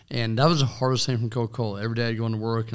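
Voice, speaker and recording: A medium-pitched man with a Kansas accent at a very fast pace, on a very clean recording with a silent background. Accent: US Midwest (Kansas). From western Kansas, US. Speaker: small business owner and city commissioner. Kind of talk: interview.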